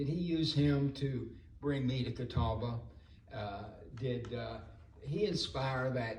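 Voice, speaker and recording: A man's medium-pitched voice at a very slow pace, amid noticeable background noise and audible room echo. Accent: American. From North Carolina, Salisbury. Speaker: former political campaign worker. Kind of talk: reunion speech. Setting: homecoming dinner.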